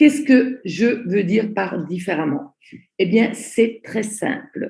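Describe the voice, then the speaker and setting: A woman speaks at a very slow pace with lively intonation in a somewhat breathy voice. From Italy. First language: Italian (speaking French). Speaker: network marketing trainer. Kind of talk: online training presentation. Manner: slow, deliberate.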